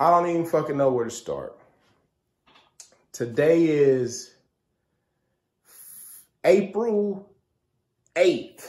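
Speaking at a very slow pace with long, frequent pauses, a man uses lively intonation at a fairly high pitch, his tone slightly mellow.

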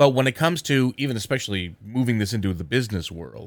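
A man with an American accent uses a plain, everyday voice at a medium pitch with lively intonation. The recording is very clean, with a silent background. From southern New Jersey. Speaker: podcast host. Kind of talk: interview.

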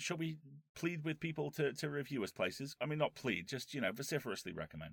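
A man with fairly high pitch and vocal fry, talking at a fairly quick pace, on a very clean recording with a silent background. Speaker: podcast host. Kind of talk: casual chat.

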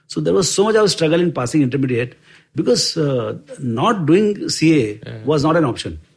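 Fairly high-pitched, somewhat breathy man at a fairly quick pace, with very wide pitch swings. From India (village, later Bombay). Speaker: investment firm co-founder. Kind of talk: interview storytelling. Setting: office. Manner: hesitant, with fillers.

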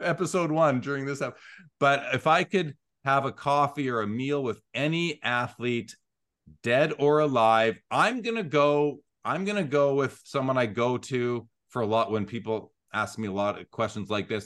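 A man with a Canadian Prairies accent, medium pitch and lively intonation, at a moderate pace. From Canada, Winnipeg. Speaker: sports card show host and grading company employee. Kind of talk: casual interview chat.

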